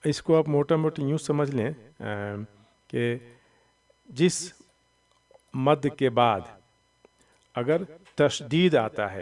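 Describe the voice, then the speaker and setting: A man with a fairly high pitch speaks at a very slow pace, leaving long, frequent pauses. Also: ordinary pitch variation. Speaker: Quran reading teacher. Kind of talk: tutorial.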